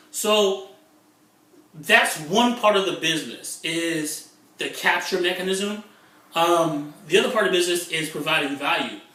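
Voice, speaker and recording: A man's high-pitched, animated voice at a fairly slow pace, with ordinary pitch variation, audible room echo and noticeable background noise. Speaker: internet marketer. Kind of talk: vlog monologue.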